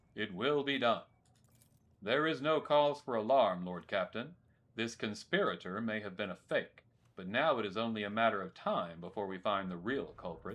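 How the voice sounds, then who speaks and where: Against a quiet background, a man does a growling put-on character voice at medium pitch, keeping a moderate pace and lively intonation. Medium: solo performance. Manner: stern, commanding.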